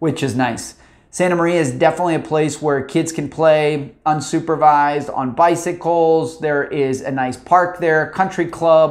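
The background is quiet. A man talks at a moderate pace with fairly even intonation. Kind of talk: informational talk to camera. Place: office. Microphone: lapel.

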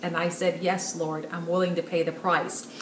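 A woman's voice with light background noise and audible room echo. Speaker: speaker. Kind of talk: sermon-like direct-to-camera message. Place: home room.

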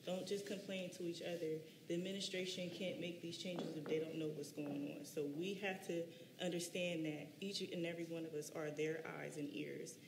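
Over noticeable background noise, a woman with an American accent speaks at a fairly quick pace, her pitch fairly low and her intonation fairly even. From US Northeast. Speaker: city council candidate. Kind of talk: candidate forum speech. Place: hall.

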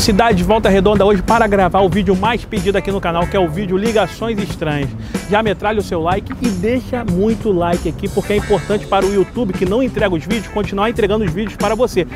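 Clear music plays behind a man who talks at a very fast pace in a high voice. His intonation is fairly even, and the sound is dry with no echo. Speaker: prank video host. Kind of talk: comedic prank phone talk. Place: street.

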